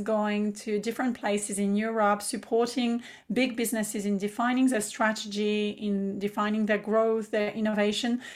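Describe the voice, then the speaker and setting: This is a very clean recording with a silent background. A woman with a French accent speaks at a moderate pace in a fairly high, monotone, flat voice. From south of France, Provence. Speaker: business mentor and entrepreneur. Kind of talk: casual interview chat.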